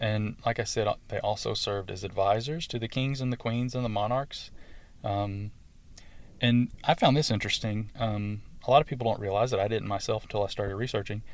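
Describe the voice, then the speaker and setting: A man with a fairly low pitch and fairly even intonation at a fairly quick pace, in a very clean recording with a silent background. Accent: Southern US. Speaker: podcast host. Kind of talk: scripted-style solo talk about druidry, educational monologue. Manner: hesitant, filler words, conversational.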